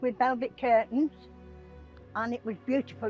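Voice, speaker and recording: A woman with a high pitch and fairly even intonation speaks with music in the background. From England, Cheshire. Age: old. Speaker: Romany elder. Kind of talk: interview answer, personal testimony.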